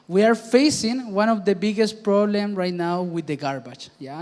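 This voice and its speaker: Speaking in a Spanish accent, a man shows ordinary pitch variation. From Chile. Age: 20s. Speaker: startup founder. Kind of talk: panel presentation.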